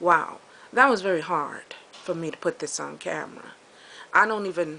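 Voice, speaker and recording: In a bright, sharp tone, a woman with a fairly low pitch speaks at a moderate pace, showing ordinary pitch variation and big swings in loudness. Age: 60s. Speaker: vlogger. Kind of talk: personal video diary. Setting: outdoors, walking with camera. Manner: halting.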